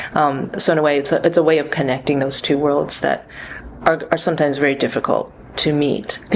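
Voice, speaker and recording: A woman with an American accent talks fairly quickly in a very deep, low pitch and a monotone, flat intonation. Noticeable background noise runs under her voice. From US, New York and California. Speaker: composer and performer. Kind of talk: interview. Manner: hesitant, many fillers.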